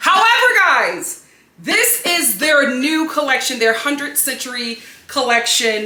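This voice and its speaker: An animated woman at a fairly slow pace, very wide pitch swings, noticeable background noise and audible room echo. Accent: American. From Philadelphia, US. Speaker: home and lifestyle vlogger. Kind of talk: product haul video. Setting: home studio.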